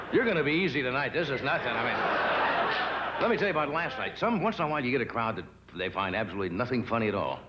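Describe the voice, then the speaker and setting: Very fast speech with very wide pitch swings over loud background noise. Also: man. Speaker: talk show host. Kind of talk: comedy monologue. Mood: dry, playful. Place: stage.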